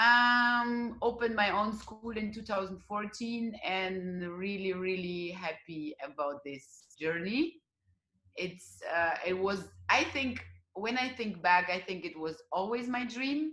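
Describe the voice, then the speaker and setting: At a very slow pace, a woman speaks with a bright, sharp tone. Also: medium pitch for a woman, lively intonation. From Russia. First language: Russian. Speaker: dance teacher. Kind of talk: interview. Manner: halting.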